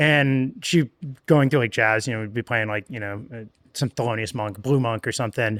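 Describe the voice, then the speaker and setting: This man talks at a medium pitch. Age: 30s. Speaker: musician. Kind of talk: casual interview chat.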